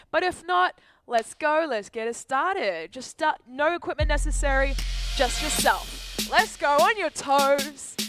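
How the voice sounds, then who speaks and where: A woman talks at a fairly slow pace in a high pitch. Music is clearly heard behind her in a dry sound with no echo. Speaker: fitness coach. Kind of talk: workout class instruction. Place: gym. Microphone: headset.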